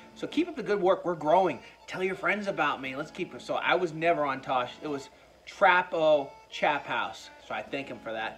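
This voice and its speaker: A man's high-pitched voice over faint music in the background. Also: ordinary pitch variation, moderate pace. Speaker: food reviewer. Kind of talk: casual vlog chat. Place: home room. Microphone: phone near.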